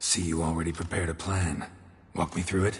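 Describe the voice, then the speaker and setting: A man uses a put-on character voice, raspy and very deep in pitch. He talks at a fairly quick pace with monotone, flat intonation. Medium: video game. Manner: terse, clipped, deadpan.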